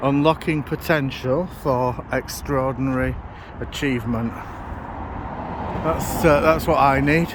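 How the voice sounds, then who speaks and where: A fairly high-pitched man with a Lancashire accent, fairly slow and fairly even in intonation, with long, frequent pauses and noticeable background noise. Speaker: vlogger. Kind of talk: casual walking vlog. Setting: outdoors under a motorway. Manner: loud, shouting.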